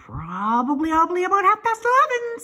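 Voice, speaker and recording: A woman's put-on character voice, extremely high-pitched, at a fairly quick pace. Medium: read story. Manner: stammering, repeats words.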